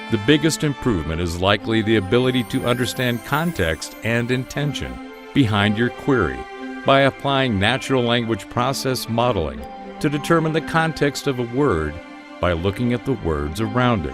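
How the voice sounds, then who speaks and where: Music plays in the background as a man speaks with an American accent at medium pitch. His pace is moderate and his intonation lively. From United States. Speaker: voice actor. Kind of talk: radio news read.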